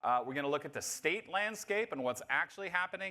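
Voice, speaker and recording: Very fast and bright, a man's sharp-toned voice shows very wide pitch swings and vocal fry. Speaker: nonprofit association CEO, keynote speaker. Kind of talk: conference keynote talk. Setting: stage with live audience and interpreters. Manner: animated.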